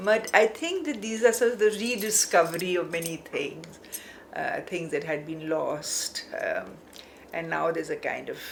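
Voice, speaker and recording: Over noticeable background noise, a woman of medium pitch speaks at a moderate pace with very wide pitch swings. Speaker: art academic. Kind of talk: interview.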